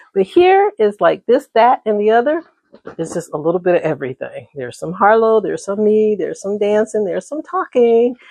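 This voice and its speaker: Recorded dry and close with no echo, a woman with an American accent speaks at a fairly quick pace in a fairly high voice with a dark, mellow tone and very wide pitch swings. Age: 60s. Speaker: vlogger. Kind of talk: casual chat. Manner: conversational, with frequent fillers.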